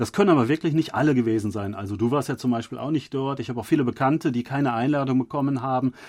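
Barely pausing, a man with a medium pitch talks at a very fast pace with ordinary pitch variation. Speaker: podcast host. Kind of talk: casual chat. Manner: halting, many filler sounds.

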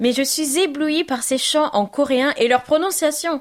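A woman's high, warm voice at a very slow pace, over noticeable background noise. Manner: warm, affectionate.

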